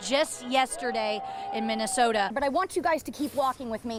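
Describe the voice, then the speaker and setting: Music plays behind a woman whose voice sits high. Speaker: TV news reporter. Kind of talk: TV news live shots and standups.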